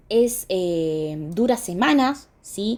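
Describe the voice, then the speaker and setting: Somewhat breathy and dark, mellow in tone, a woman's voice moves through very wide pitch swings. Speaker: dermatology lecturer. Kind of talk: lecture.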